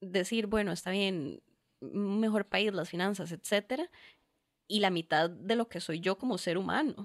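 A woman with a plain, everyday voice, medium pitch and lively intonation, at a fairly slow pace, in a dry, close sound with no echo and a very clean recording with a silent background. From Costa Rica, Curridabat. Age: 20s. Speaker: lawyer. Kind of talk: casual chat.

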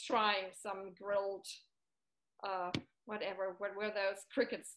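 At a fairly slow pace, a woman speaks with a German accent. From Germany. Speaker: middle school language teacher. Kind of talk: casual interview.

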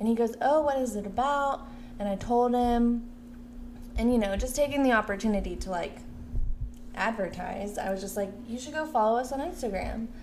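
Amid audible room echo, a woman with a fairly high voice talks at a moderate pace, with ordinary pitch variation and long, frequent pauses. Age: 20s. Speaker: podcast co-host. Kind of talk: casual chat.

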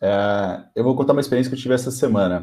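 In a dark, mellow tone, a man speaks at a very fast pace. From São Paulo, Brazil. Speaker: podcast co-host. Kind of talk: casual chat. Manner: animated.

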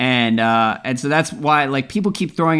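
Very fast? No: a man with an unremarkable speaking voice talks at a moderate pace and a fairly high pitch on a very clean recording with a silent background. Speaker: podcast host. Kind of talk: casual basketball podcast chat. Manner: casual, joking.

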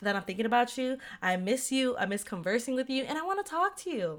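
Loud and very fast, a woman speaks at a high pitch with very wide swings up and down. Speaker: podcast co-host. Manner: loud, talkative.

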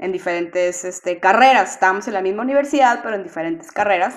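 A woman is speaking. Her intonation is lively. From Mexico, Monterrey. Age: 30s. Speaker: podcast co-host. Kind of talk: casual chat.

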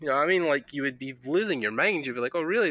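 The intonation carries ordinary pitch variation. It is delivered in a Scottish accent. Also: man. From Scotland. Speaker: podcast host. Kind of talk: casual interview. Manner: informal, filler-heavy.

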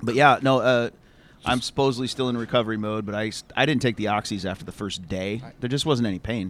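This man talks at a very fast pace with a Midwestern accent. His voice sits at medium pitch with ordinary variation. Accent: general American Midwest. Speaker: podcast host. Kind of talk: casual banter. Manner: joking, profane.

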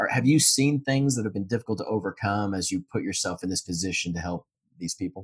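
At a very fast pace, a man speaks somewhat breathily at a fairly low pitch with a dry, close sound and no echo. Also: ordinary pitch variation. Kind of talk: podcast interview.

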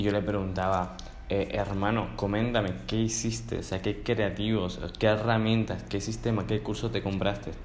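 A man speaks at a moderate pace in a fairly low voice with ordinary pitch variation. His loudness stays very even, and audible room echo surrounds him. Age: 20s. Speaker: podcast host. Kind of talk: interview conversation.

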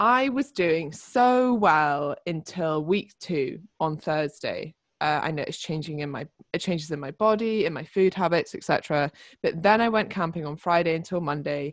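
With a British accent and lively intonation, the speaker moves at a fairly slow pace on a very clean recording with a silent background. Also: woman. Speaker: fitness coach. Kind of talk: casual chat.

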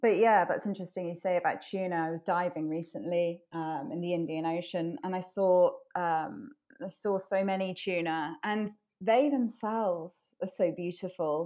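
With a Welsh accent, a woman speaks at medium pitch and a moderate pace, her dark, mellow tone carrying ordinary pitch variation over a quiet background. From Wales. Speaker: ocean conservation advocate. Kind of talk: casual interview. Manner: hesitant, many fillers.

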